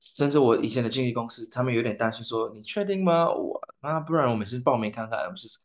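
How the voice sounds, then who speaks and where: Over a quiet background, a man with a non-native accent speaks at a medium pitch with lively intonation. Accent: foreign accent in Mandarin. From Saint Lucia. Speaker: singer. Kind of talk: interview. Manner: halting.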